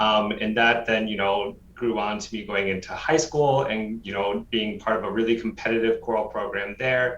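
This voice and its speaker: A man talks with hardly any pauses and fairly even intonation against noticeable background noise. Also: moderate pace. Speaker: professional choral singer. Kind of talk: interview. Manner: hesitant fillers.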